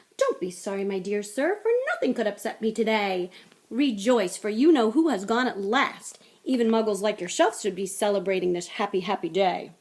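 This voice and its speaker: A woman puts on a squeaky character voice at a medium pitch. She keeps a moderate pace with ordinary pitch variation. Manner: joyful, overjoyed.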